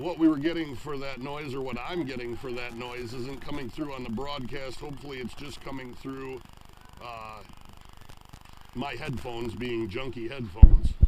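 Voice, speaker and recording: A man's medium-pitched voice at a moderate pace, fairly even intonation, big swings in loudness, audible room echo and noticeable background noise. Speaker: hockey play-by-play announcer. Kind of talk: live commentary.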